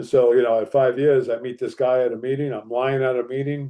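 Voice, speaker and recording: Speaking at a very fast pace with an American accent, the voice has a dark, mellow tone. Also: man. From northern New Jersey. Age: 60s. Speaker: recovery speaker. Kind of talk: testimony. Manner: animated.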